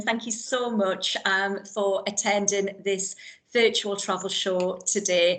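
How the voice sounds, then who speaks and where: A woman with a Geordie accent speaks at a fairly slow pace with ordinary pitch variation. Background noise is noticeable. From Newcastle area, northeast England. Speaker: cruise line account manager. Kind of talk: virtual event presentation. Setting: online virtual event.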